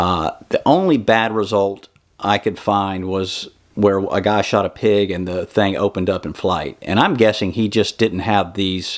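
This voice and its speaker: A man speaks in a normal speaking voice at a fairly slow pace, his pitch fairly low and his intonation fairly even. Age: 50s. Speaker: bowhunting YouTuber. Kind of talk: equipment review tutorial. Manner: casual, with frequent fillers.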